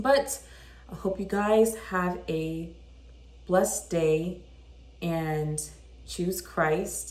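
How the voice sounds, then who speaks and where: The speaker is a woman. Audible room echo surrounds her voice. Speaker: vlogger. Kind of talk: casual chat. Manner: animated.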